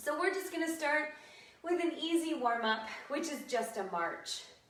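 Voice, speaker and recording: Audible room echo around a woman's voice, its pitch swinging very widely. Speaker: fitness instructor. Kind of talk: live online exercise class instruction. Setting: livestream video.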